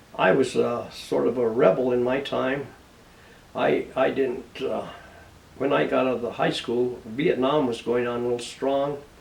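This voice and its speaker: A man with an American accent speaks fairly slowly at medium pitch and with fairly even intonation, with audible room echo. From Colorado, US (San Luis). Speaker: war veteran. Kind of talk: interview. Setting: on camera. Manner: halting.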